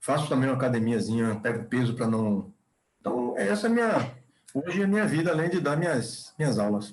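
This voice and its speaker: Speaking at a fairly quick pace, a man at medium pitch keeps his loudness very even and his intonation lively. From Bahia, Brazil. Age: 60s. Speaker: chemical engineer and professor. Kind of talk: podcast interview. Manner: halting, with repetitions.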